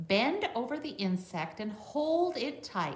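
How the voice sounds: A woman speaks at a slow pace with big pitch swings, and the room echo is audible.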